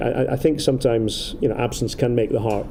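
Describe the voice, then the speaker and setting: Noticeable background noise and audible room echo surround a man with an Aberdeen accent. He speaks at a medium pitch with fairly even intonation. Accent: Scottish, Aberdeen. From Scotland, Aberdeen. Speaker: football commentator. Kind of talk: casual interview. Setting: outdoors in a city. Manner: halting, many repetitions.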